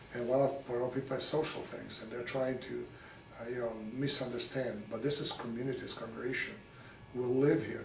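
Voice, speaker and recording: A man talks at a very fast pace with a medium pitch and monotone, flat intonation. The room echo is audible. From Serbia, Belgrade. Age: 60s. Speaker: local author. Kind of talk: interview.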